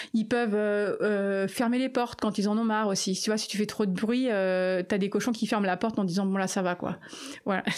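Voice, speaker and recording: A woman's medium-pitched, a plain, everyday voice at a moderate pace, with very even loudness throughout. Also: fairly even intonation. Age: 50s. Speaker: animal sanctuary founder. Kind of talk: interview.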